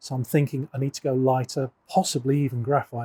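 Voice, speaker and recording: The voice is somewhat breathy and dark, mellow in tone, with monotone, flat intonation. It moves at a very fast pace, with a dry, close sound and no echo. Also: man. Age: 60s. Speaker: golf coach. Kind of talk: casual chat. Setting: indoor golf fitting studio.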